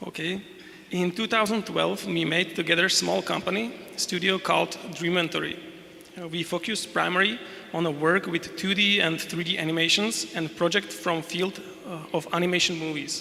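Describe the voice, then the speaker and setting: Speaking at a moderate pace with a Slovak accent, a man uses a high pitch and ordinary pitch variation over noticeable background noise. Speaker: game developer. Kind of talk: conference presentation. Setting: stage with audience. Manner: reading aloud, halting.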